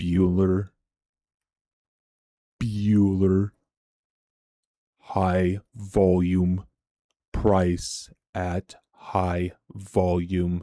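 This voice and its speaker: A man puts on a robotic character voice, very deep, low and flat in a monotone. He speaks very slowly with long, frequent pauses in a very clean recording with a silent background. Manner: flat, robotic, droning.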